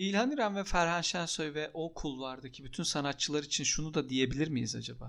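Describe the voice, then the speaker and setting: A man's fairly high voice, an ordinary speaking voice at a fairly quick pace, with ordinary pitch variation, hardly any pauses, and a very clean recording over a silent background. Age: 30s. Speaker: podcast co-host. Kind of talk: casual chat.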